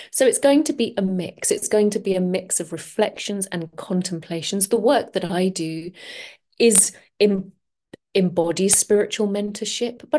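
Against a quiet background, a woman with a dark, mellow tone speaks with ordinary pitch variation. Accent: London. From London, England. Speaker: podcast host and transformational coach. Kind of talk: solo podcast monologue.

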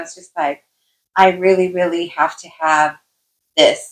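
A woman with an unremarkable speaking voice, medium pitch and a moderate pace. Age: 50s. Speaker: life coach and podcast co-host. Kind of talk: casual chat.

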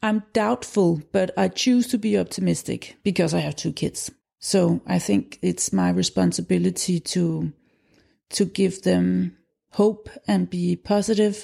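A woman with a Danish accent talks at a fairly slow pace. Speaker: documentary film director and school founder. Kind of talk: interview.

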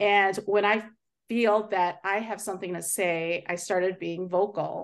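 Speaking fairly slowly in a normal speaking voice, a woman with an American accent keeps her medium pitch fairly even. The background is quiet. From US Midwest, Chicago area. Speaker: project manager and motivational speaker. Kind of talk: interview.

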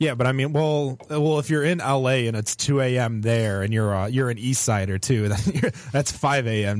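A man's plain, everyday voice at a medium pitch and moderate pace, with ordinary pitch variation. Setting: studio.

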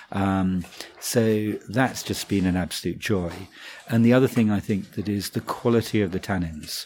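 This man has an unremarkable speaking voice, fairly low in pitch, with ordinary pitch variation at a moderate pace. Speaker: wine merchant buying director. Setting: office interview.

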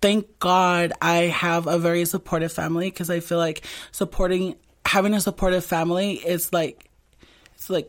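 At a moderate pace, a plain, everyday voice comes through in a very clean recording with a silent background. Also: woman. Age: 20s. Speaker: community activist and drag performer. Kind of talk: interview.

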